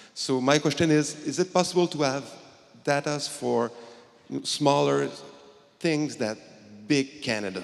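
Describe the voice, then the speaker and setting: A man with a Quebec accent at a fairly slow pace, ordinary pitch variation and long, frequent pauses, amid noticeable background noise. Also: fairly high pitch for a man. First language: French. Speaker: community pharmacist, audience member. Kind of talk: audience question. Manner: halting.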